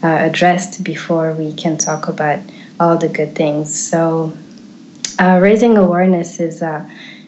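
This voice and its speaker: A woman speaks with an Eritrean accent. The room echo is audible, and background noise is noticeable. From Switzerland, French-speaking. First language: Tigrinya. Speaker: activist. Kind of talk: interview. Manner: halting, many fillers.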